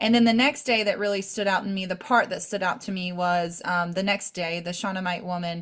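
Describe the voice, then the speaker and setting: A woman talks at a fairly quick pace and medium pitch. Her voice is shaky. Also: ordinary pitch variation, hardly any pauses. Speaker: faith podcast co-host. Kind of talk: casual chat. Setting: live video call.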